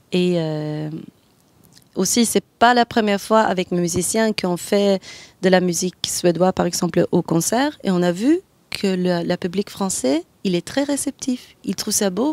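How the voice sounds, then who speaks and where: In a Swedish accent, a woman of medium pitch speaks fairly slowly with lively intonation, on a very clean recording with a silent background and a dry, close sound with no echo. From Sweden. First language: Swedish (speaking French). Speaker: jazz singer. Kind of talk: interview. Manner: halting.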